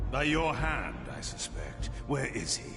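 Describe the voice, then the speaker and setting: Loud music plays in the background. Over it, a man in a put-on character voice speaks at a fairly slow pace. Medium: game stream. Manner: curt, commanding.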